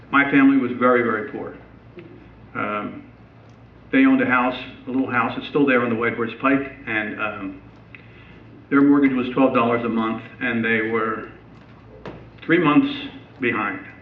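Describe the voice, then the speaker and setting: A man speaks in an American accent with fairly even intonation and long, frequent pauses. Noticeable background noise and audible room echo fill the recording. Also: medium pitch for a man, moderate pace. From southern New Jersey. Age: 70s. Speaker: retired high school band director. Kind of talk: public talk. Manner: halting, many fillers.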